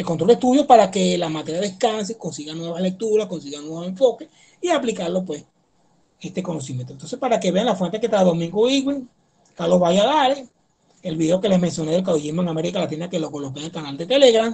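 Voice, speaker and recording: The voice, dark and mellow, runs at a very fast pace with lively intonation. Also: man, high pitch for a man. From eastern Venezuela. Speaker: history professor. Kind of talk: lecture. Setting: video call.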